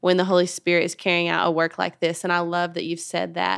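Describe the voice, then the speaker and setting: The delivery is fairly quick, with monotone, flat intonation. The recording is very clean, with a silent background. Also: woman. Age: 30s. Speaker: podcast host, women's ministry leader. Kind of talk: faith-based interview.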